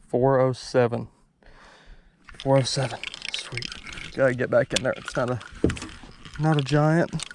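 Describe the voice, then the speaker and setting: Quiet and monotone, a man at a medium pitch talks with flat intonation and long, frequent pauses. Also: moderate pace. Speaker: fishing video creator. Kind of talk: casual on-the-water vlog commentary. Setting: outdoors on a boat on a lake. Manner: quiet, low-key speaking.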